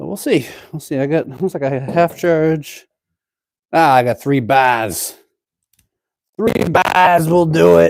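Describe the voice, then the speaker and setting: A man with a Boston accent and a fairly high pitch, ordinary pitch variation, a fairly slow pace and long, frequent pauses. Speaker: DIY woodworking YouTuber. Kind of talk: live-stream tutorial. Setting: cold home workshop. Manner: casual, chatty.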